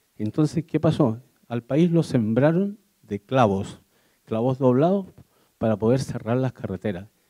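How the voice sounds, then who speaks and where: Speaking fairly slowly with long, frequent pauses, a man uses a dark, mellow tone at medium pitch and lively intonation, recorded dry and close with no echo. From Chile. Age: 70s. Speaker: audience member. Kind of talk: audience question at a public talk.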